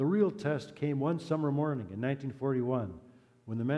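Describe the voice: The delivery is plain reading aloud, and the pitch varies in an ordinary way.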